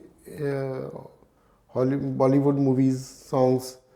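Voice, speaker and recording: Noticeable background noise sits behind a man speaking with an Indian accent. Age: 60s. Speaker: retiree learning harmonica. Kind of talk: podcast interview answer.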